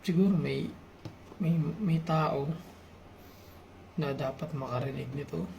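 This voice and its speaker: A soft-spoken man with a fairly high pitch, ordinary pitch variation, a fairly slow pace and long, frequent pauses, in a room with audible echo. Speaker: YouTuber sharing personal reflections. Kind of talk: personal confessional vlog. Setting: at home at night, late night. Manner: soft-spoken, quiet; halting, hesitant.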